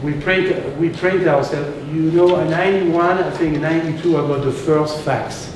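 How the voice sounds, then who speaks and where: Against noticeable background noise and audible room echo, a man speaks at a moderate pace with a fairly high pitch. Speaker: restaurateur and chef. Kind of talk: storytelling talk to local audience. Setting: live talk with audience, slides. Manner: animated. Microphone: no microphone, room sound.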